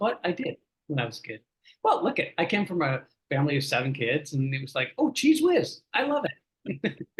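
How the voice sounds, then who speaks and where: A man talks at a fairly quick pace with a Canadian accent. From Canada. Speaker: voice actor. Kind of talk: casual chat. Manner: animated.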